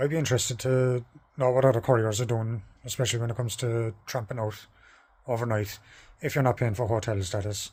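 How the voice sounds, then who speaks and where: A somewhat breathy man's voice with an Irish accent, medium pitch, fairly even intonation and a fairly quick pace, on a very clean recording with a silent background. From Ireland. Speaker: courier van driver. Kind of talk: vlog talking to camera. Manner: hesitant with pauses.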